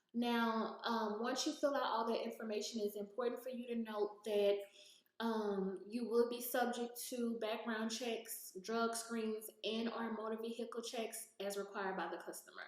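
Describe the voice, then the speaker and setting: A woman talks with a fairly high pitch. Her intonation is monotone and flat. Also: moderate pace. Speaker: YouTuber giving gig work tips. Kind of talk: screen-share tutorial. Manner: casual, hesitant with many fillers.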